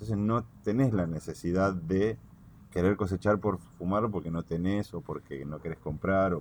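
A man's very deep, low voice with big swings in loudness. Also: ordinary pitch variation, moderate pace. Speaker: cannabis grower. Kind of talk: casual chat.

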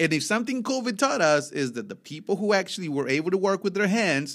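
An animated man with a Spanish accent, very fast delivery and very wide pitch swings, on a very clean recording with a silent background. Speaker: podcast host. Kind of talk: casual chat.

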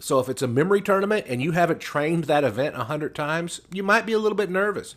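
Someone with an American accent speaks with lively intonation. The recording is very clean, with a silent background. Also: man. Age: 40s. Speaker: memory expert. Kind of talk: interview.

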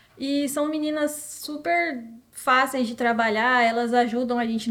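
A woman speaks with an ordinary speaking voice, a fairly high pitch and fairly even intonation. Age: 20s. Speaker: professional footballer. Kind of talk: interview.

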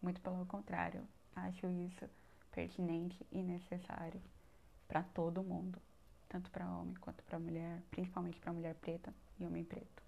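A woman speaks at a moderate pace. Her speech has long, frequent pauses. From Brazil, São Paulo north coast. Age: 20s. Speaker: podcast host, university student. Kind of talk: casual personal monologue.

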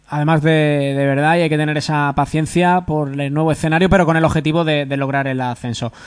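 Fairly high-pitched male voice, flat and monotone, at a fairly quick pace with hardly any pauses. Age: 30s. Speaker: sports radio host. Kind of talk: radio interview.

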